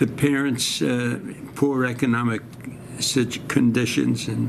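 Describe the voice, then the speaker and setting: Spoken at a fairly slow pace with a New York accent and ordinary pitch variation, the voice comes through noticeable background noise and audible room echo. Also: man, medium pitch for a man. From New York City (Brooklyn). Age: 90s. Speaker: war veteran. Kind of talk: oral history interview. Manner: halting.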